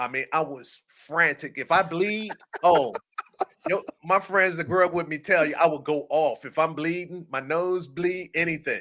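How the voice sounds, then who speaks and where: A bright, sharp tone at a moderate pace, in an American accent. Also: man, high pitch for a man. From Washington DC (Southeast). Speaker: retired firefighter. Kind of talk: interview.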